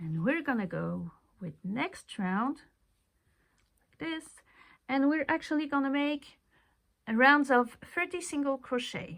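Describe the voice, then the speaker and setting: Speaking at a fairly slow pace with a non-native accent, a woman uses a high pitch with very wide pitch swings and big swings in loudness, leaving long, frequent pauses in a very clean recording with a silent background. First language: not English. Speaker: crochet tutorial creator. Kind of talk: tutorial. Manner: casual, conversational.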